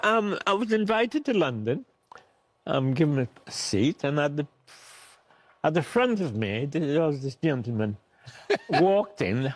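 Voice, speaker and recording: Pausing long and often, a man talks at a fairly high pitch with very wide swings in pitch. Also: fairly slow pace. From Trinidad. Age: 80s+. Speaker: war veteran. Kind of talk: interview.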